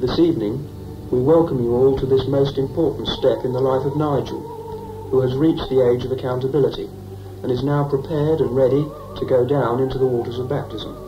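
Music plays in the background. The speech moves at a fairly quick pace. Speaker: film narrator. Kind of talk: documentary narration. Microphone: old recording.

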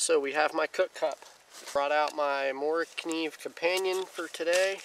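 Noticeable background noise sits under fairly even intonation, and the sound is dry with no echo. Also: man. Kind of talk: casual vlog chat. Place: forest. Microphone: camera far.

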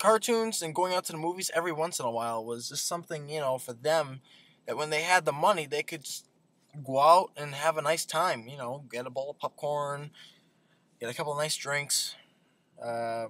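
A man's bright, sharp tone with big swings in loudness. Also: ordinary pitch variation, moderate pace, dry sound with no echo. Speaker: vlogger. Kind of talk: casual vlog chat. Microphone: webcam.

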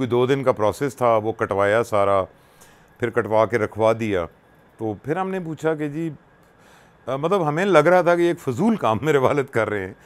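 A man's medium-pitched voice at a moderate pace, with very wide pitch swings. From Pakistan, Punjab (Attock); Punjab, Pakistan. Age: 60s. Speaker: radio presenter and social worker; interview guest, radio presenter. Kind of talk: personal storytelling interview. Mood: warm, emotional, reflective. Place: home room. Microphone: lapel.

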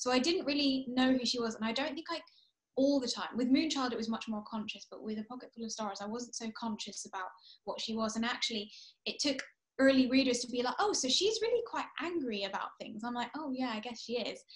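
The speech moves at a fairly quick pace with ordinary pitch variation. The background is quiet. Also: woman, high pitch for a woman. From England and Kuwait. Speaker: author. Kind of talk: author interview. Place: home room. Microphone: video call.

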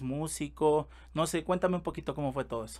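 The voice belongs to a man. He keeps his intonation fairly even. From Mexico. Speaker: podcast host and music producer; podcast host. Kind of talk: casual interview. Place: studio. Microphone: studio mic.

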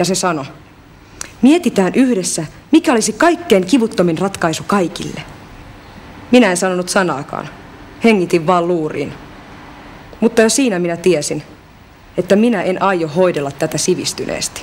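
A woman talks at a moderate pace, leaving long, frequent pauses. Light background noise can be heard. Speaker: actress in language course drama. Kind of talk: dramatic monologue. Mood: subdued, hurt, reflective.

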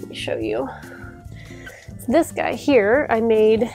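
A woman's voice is heard with faint music in the background. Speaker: sewing vlogger. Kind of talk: casual vlog chat. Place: home room. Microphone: lapel.

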